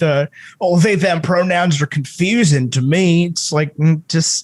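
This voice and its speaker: In an American accent, a man talks at a moderate pace and high pitch, the sound dry and close with no echo. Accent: slight New York accent at times. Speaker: podcast host. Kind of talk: casual chat.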